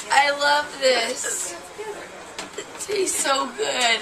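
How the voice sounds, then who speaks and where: A woman speaks very slowly in a raised, projected voice. There is noticeable background noise. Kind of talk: groggy casual chat. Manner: dreamy, woozy voice after anesthesia. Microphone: phone near.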